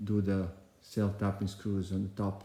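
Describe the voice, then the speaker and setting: A man talks at a fairly slow pace. His voice is fairly low-pitched, with a dark, mellow tone. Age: 60s. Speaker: DIY builder, homeowner. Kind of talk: casual video narration, how-to.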